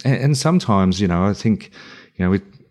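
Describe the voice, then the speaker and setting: A man with an Australian accent and a fairly low voice, fairly quick, with ordinary pitch variation. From country New South Wales, Australia. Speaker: founder of a men's mental health organisation. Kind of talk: interview. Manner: halting, many fillers.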